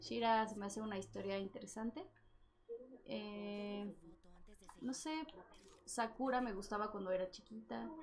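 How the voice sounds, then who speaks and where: With a Mexican accent, a woman speaks at a fairly slow pace and a fairly high pitch, with ordinary pitch variation over noticeable background noise. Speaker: voice actor. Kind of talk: casual chat.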